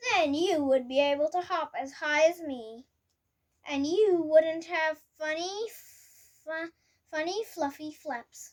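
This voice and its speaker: A woman uses a put-on character voice pitched extremely high. She goes at a fairly slow pace with long, frequent pauses. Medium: read story.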